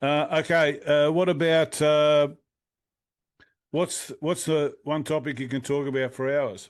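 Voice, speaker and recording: This man's pitch is fairly high. He keeps a fairly even intonation at a fairly slow pace. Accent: Australian. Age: 60s. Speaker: music interviewer. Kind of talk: casual interview. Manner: halting.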